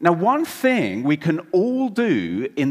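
Speaking with an English accent, a man uses very wide pitch swings. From England. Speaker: preacher. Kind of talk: sermon.

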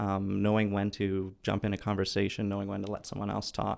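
A man with a Canadian accent speaks at a fairly quick pace in a monotone, flat intonation. The recording is very clean, with a silent background. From Vancouver, Canada. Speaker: neuroscience PhD student. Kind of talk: casual interview. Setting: studio.

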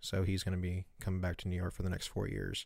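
On a very clean recording with a silent background, a man with a very deep, low voice talks at a very fast pace. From Baltimore. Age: 20s. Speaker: sports podcast host. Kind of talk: casual chat.

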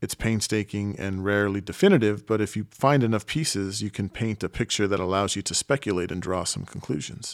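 In a normal speaking voice, a man with a fairly low pitch talks at a fairly quick pace with hardly any pauses and ordinary pitch variation, on a very clean recording with a silent background. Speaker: podcast host and narrator. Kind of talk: scripted narration of a history podcast. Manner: formal, explanatory.

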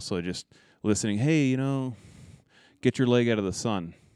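A plain, everyday voice speaks at a fairly quick pace with lively intonation. The recording is very clean, with a silent background. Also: man. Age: 30s. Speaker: rifle manufacturer and hunter. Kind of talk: casual interview chat. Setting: his trophy museum.

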